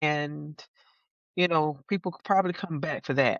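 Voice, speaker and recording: A woman talks with a Southern US accent. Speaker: gardener and YouTuber. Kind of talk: casual chat.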